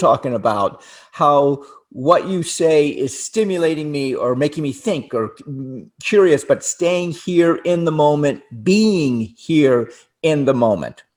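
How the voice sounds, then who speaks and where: Speaking with an American accent, a man uses a fairly high pitch and ordinary pitch variation. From US (Florida). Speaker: relationship talk show co-host. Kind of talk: casual chat. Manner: halting, many repetitions and restarts.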